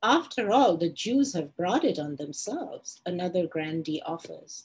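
A woman speaks at a very slow pace, her pitch swinging very widely. Her voice is somewhat breathy. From India. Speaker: novelist. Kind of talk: reading aloud. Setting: video call live stream.

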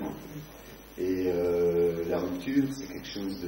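Amid noticeable background noise and audible room echo, a man speaks at a very slow pace with a fairly low pitch. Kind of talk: moderated author interview before an audience. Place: shop.

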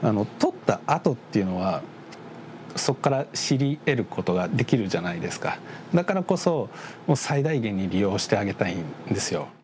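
A man's voice with very wide pitch swings at a moderate pace, over light background noise. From Shizuoka, Japan; Japan. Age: 30s. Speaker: hunter and rest stop operator. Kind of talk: interview. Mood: warm, reflective, often smiling. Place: home room. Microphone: lapel.

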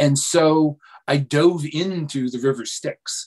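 Pitch varies in an ordinary way as a man talks over a quiet background. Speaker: guest. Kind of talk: interview answer. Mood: relaxed, lightly humorous. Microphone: video call.

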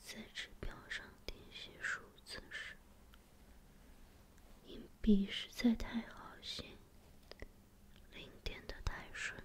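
The speaker whispers in a gentle tone at a very slow pace. Long, frequent pauses fill the delivery. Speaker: reader. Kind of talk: quiet ASMR book reading. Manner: quiet, gentle, soft-spoken.

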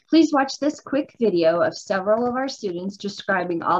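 Lively intonation at a moderate pace. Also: woman. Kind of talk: prepared presentation. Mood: polite, upbeat. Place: home room. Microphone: video call.

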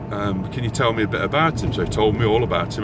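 A man rattles off his words very fast, the recording dry and echo-free, with noticeable noise behind him. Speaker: vlogger. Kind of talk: casual vlog rant. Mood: exasperated ranting, frequent swearing. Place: car. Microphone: phone near.

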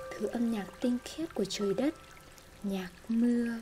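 Music plays in the background as a soft-spoken woman talks at a fairly slow pace. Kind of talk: literary essay reading.

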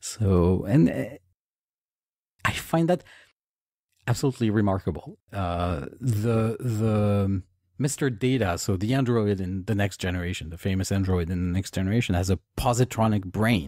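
A fairly low male voice with a dark, mellow tone, ordinary pitch variation and a moderate pace. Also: very clean recording, silent background. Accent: French. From France. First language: French. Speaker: author. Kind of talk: interview. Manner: halting.

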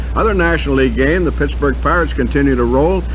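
Over music in the background, a man talks with a very deep, low pitch. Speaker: radio sportscaster. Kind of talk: radio sports news read. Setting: radio broadcast. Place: studio. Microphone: old recording.

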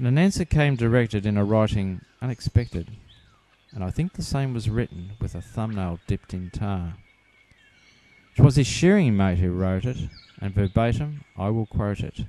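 Pausing long and often, a man talks in a fairly low pitch with a dark, mellow tone and ordinary pitch variation. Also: moderate pace. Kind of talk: poetry reading.

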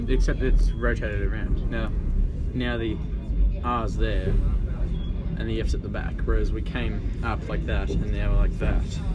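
A man at a moderate pace with long, frequent pauses, music in the background. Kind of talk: casual chat. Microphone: phone near.

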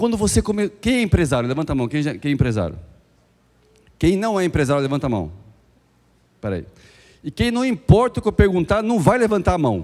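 A man with a fairly high pitch talks at a fairly quick pace, his pitch swinging very widely. He leaves long, frequent pauses over a quiet background. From Brazil. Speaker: business speaker; speaker. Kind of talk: motivational talk. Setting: stage with audience. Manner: animated. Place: hall. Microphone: handheld.

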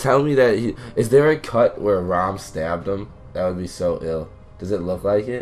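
There is music in the background. A man speaks at a moderate pace. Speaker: gaming YouTuber. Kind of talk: casual gameplay commentary.

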